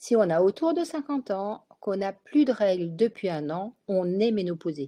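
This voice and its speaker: Against a quiet background, a woman at a medium pitch speaks in a dark, mellow tone with lively intonation, the sound dry and close with no echo. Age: 60s. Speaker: gynecologist. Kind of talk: webinar talk. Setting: online webinar.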